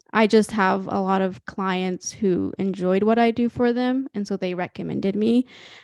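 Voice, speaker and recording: A woman with a Midwestern accent speaks at medium pitch and a moderate pace, with fairly even intonation and hardly any pauses. The sound is dry and close with no echo, over a quiet background. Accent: American Midwest. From Ethiopia, then small-town Illinois. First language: Amharic or other Ethiopian language. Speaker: young entrepreneur. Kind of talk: interview conversation. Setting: video call. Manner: hesitant, lots of fillers.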